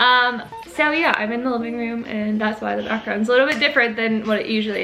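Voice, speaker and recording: A woman talks at a very fast pace in a raised, projected voice. Noticeable background noise is present. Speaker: YouTuber. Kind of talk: casual chat. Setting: friend's living room, filming at home.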